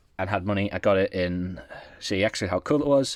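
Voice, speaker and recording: The speaker has an English accent. Pitch varies in an ordinary way. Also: man. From England. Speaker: gaming YouTuber. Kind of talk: casual collection walkthrough.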